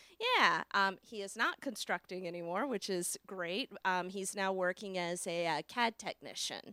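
With an American accent, a woman speaks at a medium pitch and a moderate pace, with ordinary pitch variation and hardly any pauses. Her tone is bright and sharp, and the sound is dry and close with no echo. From Virginia Beach, Virginia. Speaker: author and paranormal investigator. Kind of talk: interview. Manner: bubbly.

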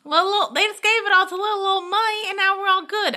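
Extremely high-pitched put-on character voice, moving at a moderate pace. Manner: imitation, admitted imperfect.

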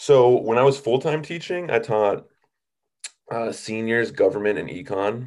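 A man's medium-pitched, ordinary speaking voice with an American accent, lively intonation and a quiet background. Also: fairly slow pace. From US Midwest, Minnesota. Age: 20s. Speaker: substitute teacher and stand-up comedian. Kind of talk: casual chat.

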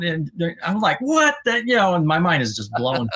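A man talks at a fairly quick pace with a Quebec accent. His pitch is fairly high and his tone bright and sharp. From Quebec, Sherbrooke. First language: French. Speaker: former podcast co-host, metal fan. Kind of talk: casual interview chat. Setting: live stream.

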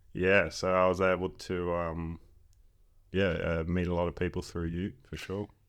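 In an Australian accent, a man speaks at a moderate pace with a very deep, low pitch and monotone, flat intonation over a quiet background. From Western Australia, Exmouth. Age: 20s. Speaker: footballer and chiropractor. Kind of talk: casual chat.

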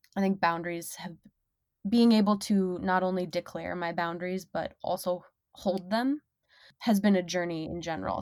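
This woman has a normal speaking voice, medium pitch, fairly even intonation and an American accent, on a very clean recording with a silent background. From Minnesota, US. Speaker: sex worker and podcast host. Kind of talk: casual interview chat.

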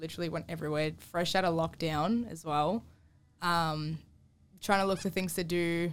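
Speaking with an Australian accent, a woman with a fairly low pitch talks at a moderate pace in a monotone, flat intonation on a very clean recording with a silent background. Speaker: girlfriend guest. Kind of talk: casual chat.

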